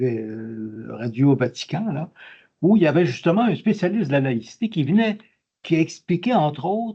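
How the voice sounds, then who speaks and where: Very wide pitch swings mark this man's dark, mellow tone. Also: fairly high pitch for a man, moderate pace. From Quebec. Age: 80s+. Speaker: audience member, retired doctoral graduate. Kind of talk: audience question at lecture. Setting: conference hall. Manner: halting.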